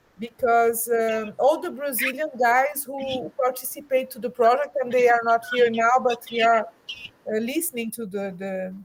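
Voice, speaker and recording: Speaking at a high pitch and a fairly slow pace, a woman uses ordinary pitch variation, hardly any pauses, and big swings in loudness over noticeable background noise. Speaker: book co-author and cave photographer. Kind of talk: interview answer at live book launch. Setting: online live stream. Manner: halting, many false starts.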